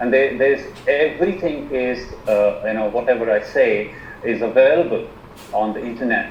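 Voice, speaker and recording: A man with an Indian accent at a fairly slow pace, amid noticeable background noise and audible room echo. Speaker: alternative medicine practitioner. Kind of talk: presentation on a video call. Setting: video call. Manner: halting, many fillers and repetitions.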